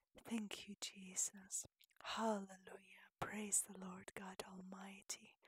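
The pace is very slow. Long pauses come often. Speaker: painter and prayer leader. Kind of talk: fervent prayer over a painting, worship. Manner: earnest, pleading, intimate; rising praise, rhythmic hallelujahs.

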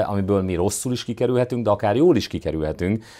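In a quiet setting, a man with a fairly low pitch and a dark, mellow tone talks with ordinary pitch variation. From southern Hungary, near Serbian border. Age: 40s. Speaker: mayor. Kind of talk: interview. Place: studio. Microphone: lapel.

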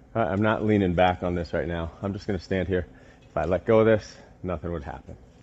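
At a moderate pace, a man talks in a very deep, low voice. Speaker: fitness coach. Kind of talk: tutorial. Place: gym.

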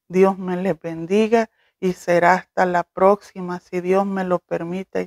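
A woman with a warm tone at a very slow pace, in a very clean recording over a silent background. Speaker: cooking YouTuber. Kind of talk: video blog announcement. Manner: warm, slow.

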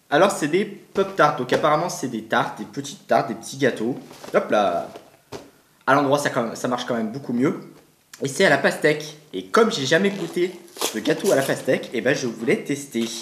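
Over light background noise and audible room echo, a man talks at a moderate pace with long, frequent pauses. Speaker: food taste-test vlogger. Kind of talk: casual vlog chat. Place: home room.

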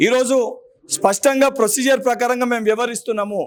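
In a Telangana accent, a man speaks at an extremely high pitch with fairly even intonation. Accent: Telangana Telugu. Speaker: politician, legislative council member. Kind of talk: political press statement. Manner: forceful, combative.

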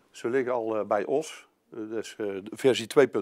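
Against a quiet background, a man speaks, his pitch showing ordinary variation. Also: dry sound with no echo. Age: 50s. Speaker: construction company sales manager; presenter. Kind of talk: business presentation. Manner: halting, many filler sounds. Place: meeting room.

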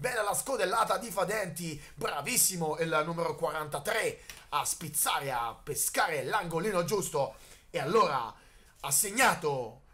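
A man's voice with a bright, sharp tone. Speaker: sports commentator. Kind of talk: live sports commentary. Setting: match commentary at a football field. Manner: excitable, shouting at goals.

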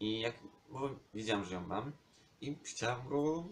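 A man with a medium-pitched voice talks at a fairly quick pace with lively intonation over noticeable background noise. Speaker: vlogger. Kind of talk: casual vlog monologue.

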